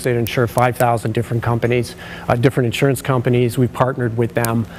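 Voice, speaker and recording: This is a man at a medium pitch. Noticeable background noise runs behind him. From British Columbia, Canada. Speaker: occupational sleep specialist. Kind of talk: conference presentation. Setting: stage with audience. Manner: loud.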